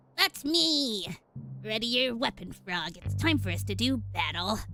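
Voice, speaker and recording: A put-on character voice at a middle pitch speaks at a moderate pace, with faint music in the background. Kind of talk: dramatic, challenging.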